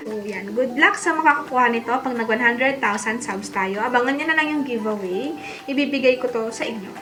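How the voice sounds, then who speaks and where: Noticeable background noise and audible room echo surround a woman who speaks fairly quickly in a high voice with ordinary pitch variation. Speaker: beauty vlogger. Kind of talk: haul video, casual chat. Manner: animated.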